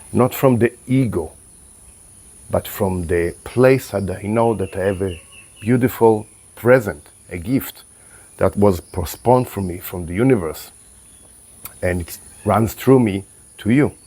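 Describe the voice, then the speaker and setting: A man's calm, dark, mellow voice at a fairly slow pace, with ordinary pitch variation, on a very clean recording with a silent background. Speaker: spiritual coach and vlogger. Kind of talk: reflective monologue. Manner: halting, calm.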